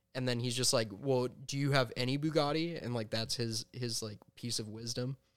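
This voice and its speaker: Using a normal speaking voice, a man talks at medium pitch and a moderate pace with fairly even intonation and hardly any pauses. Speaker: podcast host. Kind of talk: casual comedic banter. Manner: deadpan, sarcastic.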